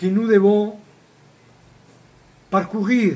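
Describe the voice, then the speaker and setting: A man talks at a very slow pace. He has a non-native accent. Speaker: shamanic retreat center founder and teacher. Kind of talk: spiritual talk. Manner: hesitant, with repetitions.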